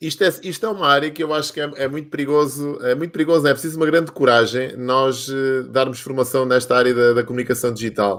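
Very fast talk from a man with a fairly high pitch. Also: ordinary pitch variation. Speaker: live show host. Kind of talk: casual interview. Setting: online live stream. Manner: animated.

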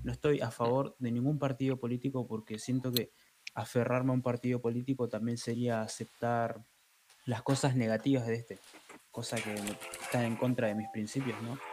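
With noticeable background noise around him, a man talks at a moderate pace and medium pitch in a monotone, flat intonation. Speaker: podcast co-host. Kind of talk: casual chat.

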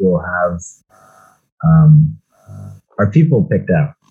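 The man has a dark, mellow tone. His voice is somewhat breathy. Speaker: podcast host. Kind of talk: casual chat about a movie.

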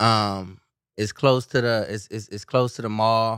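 In an American accent, a man talks at a very slow pace and a medium pitch. The recording is very clean, with a silent background and a dry, close sound with no echo. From California. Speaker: podcast co-host. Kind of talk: casual chat.

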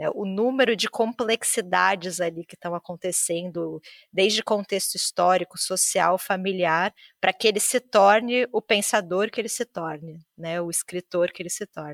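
A woman with a normal speaking voice talks at a medium pitch with ordinary pitch variation. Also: moderate pace, dry, close sound with no echo. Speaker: podcast host. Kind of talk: casual chat.

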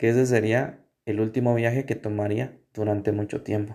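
In a very clean recording with a silent background, a man with a medium pitch and a dark, mellow tone speaks fairly slowly in a flat monotone. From Guatemala, Sololá. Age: 20s. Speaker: university student. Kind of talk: personal testimony. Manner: halting.

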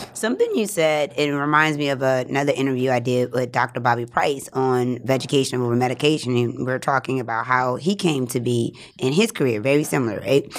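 A woman with a very deep, low pitch speaks at a fairly quick pace with hardly any pauses and ordinary pitch variation, on a very clean recording with a silent background. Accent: American. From New Orleans, US South. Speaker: podcast host. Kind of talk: casual interview chat.

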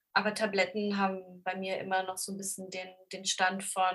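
This is a woman speaking at a medium pitch. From Lower Saxony, Germany (Braunschweig). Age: 30s. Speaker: bookseller with ADHD. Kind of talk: casual interview chat.

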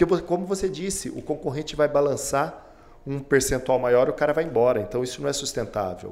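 Vocal fry marks this man's fairly high-pitched voice. He speaks fairly quickly with lively intonation. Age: 40s. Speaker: beauty academy executive. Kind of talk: interview. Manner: hesitant fillers.

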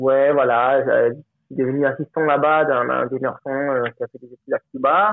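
At a moderate pace, a man with a fairly high pitch and fairly even intonation speaks with big swings in loudness. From Colombia. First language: Spanish (speaking French). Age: 30s. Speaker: film director. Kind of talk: interview. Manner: halting.

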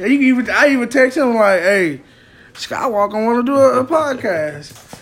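A man speaks at a moderate pace with an extremely high pitch, over noticeable background noise. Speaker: comedian and podcast host. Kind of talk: casual chat. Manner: monotone on stage, by his own account.

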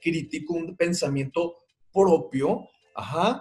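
The speaker goes at a very slow pace. Pitch varies in an ordinary way. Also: man. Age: 40s. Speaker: parenting podcast host. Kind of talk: podcast monologue.

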